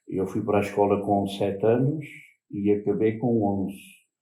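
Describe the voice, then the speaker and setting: Audible room echo surrounds a man's voice. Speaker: former fisherman and farm worker. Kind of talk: interview. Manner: halting.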